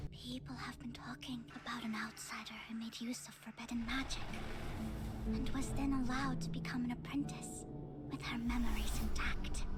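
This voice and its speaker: A cartoonish character voice that sounds female moves at a moderate pace over loud background noise. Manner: energetic, cheerful.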